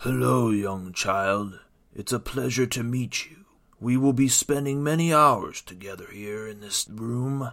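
A man uses a put-on character voice at a fairly slow pace. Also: medium pitch for a man.

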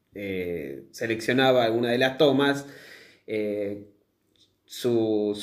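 A man's voice carries audible room echo. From Argentina, Tigre (Buenos Aires). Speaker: podcast co-host. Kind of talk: casual chat.

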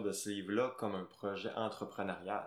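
A man talks at a fairly low pitch. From Quebec, Gaspésie. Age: 20s. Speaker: slam poet. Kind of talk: casual interview.

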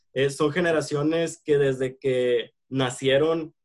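A man is speaking. His pace is very slow. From Mexico, Hermosillo, Sonora. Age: 20s. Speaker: purchasing and planning manager. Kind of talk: interview. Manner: halting, many fillers.

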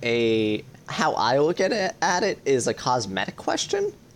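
A man with a plain, everyday voice speaks at a fairly high pitch, his intonation lively. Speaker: podcast host. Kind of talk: casual chat.

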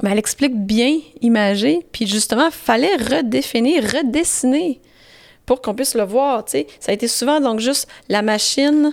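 In a very clean recording with a silent background, the speaker uses lively intonation in a Quebec accent. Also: woman, high pitch for a woman. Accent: Québécois French. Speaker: endurance athlete and coach. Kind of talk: casual interview.

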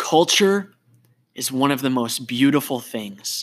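In a very clean recording with a silent background, a man uses a normal speaking voice at a fairly high pitch, with ordinary pitch variation and a fairly slow pace. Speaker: podcast host. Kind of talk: faith-based interview conversation. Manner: warm, earnest.

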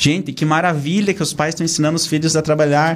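A man with a fairly high pitch, talking at a fairly quick pace. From Brazil, Castro, Paraná (rural). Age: 20s. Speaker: regional development group president. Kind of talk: interview. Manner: hesitant, many fillers.

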